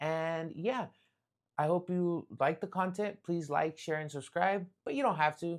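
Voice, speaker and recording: Pitched high for a man, his voice moves at a moderate pace with ordinary pitch variation. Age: 20s. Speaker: pizzeria owner and podcast host. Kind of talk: motivational podcast monologue. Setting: home studio. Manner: frequent fillers like um.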